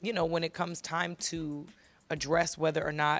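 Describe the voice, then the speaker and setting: A woman's very deep, low voice at a fairly quick pace with fairly even intonation. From New York City. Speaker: singer. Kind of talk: interview. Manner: halting, many repeated words.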